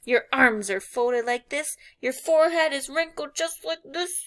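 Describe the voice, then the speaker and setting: In a put-on character voice, a woman speaks high-pitched at a moderate pace with lively intonation. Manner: soothing, gentle.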